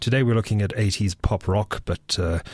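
Somewhat breathy and at a moderate pace, a man speaks in a very clean recording with a silent background and a dry, close sound with no echo. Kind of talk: radio DJ patter between songs, casual music-show presenting. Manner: relaxed, friendly, conversational with filler 'uh' and 'um'; upbeat, promotional, repeating show and contact details.

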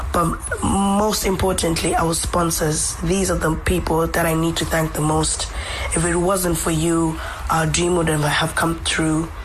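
A woman speaks fairly slowly at a very even loudness, with music in the background. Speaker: hockey pundit and academy secretary. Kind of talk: radio interview, conversational. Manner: fluent, thoughtful, with fillers like 'you know'.

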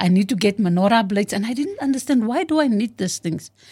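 A woman's very fast, somewhat breathy delivery in a dark, mellow tone with lively intonation. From South Africa, Western Cape (George). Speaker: retired police officer. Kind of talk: interview, personal life story.

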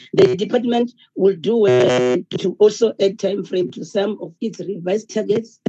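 The pace is moderate. The speaker has a South African accent. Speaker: member of parliament, committee member. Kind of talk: parliamentary debate speech.

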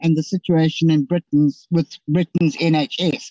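A woman speaks in a dark, mellow tone, somewhat breathy, with a dry, close sound and no echo. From Limpopo, South Africa. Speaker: member of parliament. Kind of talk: committee debate questions. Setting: virtual meeting.

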